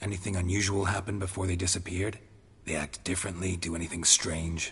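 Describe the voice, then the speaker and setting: Very fast and monotone, a man puts on a character voice. The intonation stays flat while the pitch is very deep and low. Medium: video game. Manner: terse, flat, gravelly.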